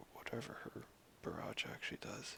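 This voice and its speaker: Whispering at a moderate pace. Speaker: tabletop wargame player. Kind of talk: casual chat during game.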